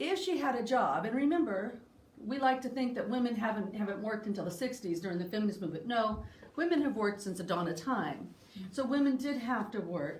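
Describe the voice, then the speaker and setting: Lively intonation marks a fairly high-pitched woman talking at a fairly quick pace, with audible room echo. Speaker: history discussion presenter. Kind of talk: lecture.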